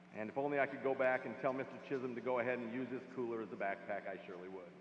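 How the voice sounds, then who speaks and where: Very fast speech over noticeable background noise. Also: man, medium pitch for a man, ordinary pitch variation. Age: 60s. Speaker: commencement speaker. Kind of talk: commencement speech.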